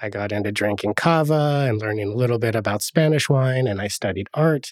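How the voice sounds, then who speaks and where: With an American accent and a plain, everyday voice, a man talks at a fairly quick pace and medium pitch, with ordinary pitch variation, on a very clean recording with a silent background. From US Northwest, Oregon. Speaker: winemaker. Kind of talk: casual chat. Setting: studio.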